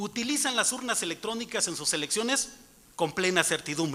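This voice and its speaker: Raised, projected male voice at a high pitch with lively intonation and a fairly quick pace. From Mixtec community in Oaxaca, Mexico. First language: Mixtec (speaking Spanish). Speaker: citizen speaker at public hearing. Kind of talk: prepared speech at public hearing. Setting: auditorium hearing. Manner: formal.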